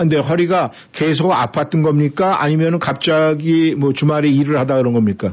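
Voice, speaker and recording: The voice is an ordinary speaking voice, at a moderate pace with ordinary pitch variation. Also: man, fairly high pitch for a man. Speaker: radio host. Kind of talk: live radio show chat. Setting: radio studio.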